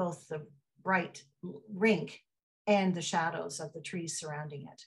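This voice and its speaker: A somewhat breathy woman's voice, fairly low in pitch, with a Canadian accent, at a fairly slow pace over a quiet background. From Ottawa, Canada; Canada. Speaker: photographer. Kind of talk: artist talk. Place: home room. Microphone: video call.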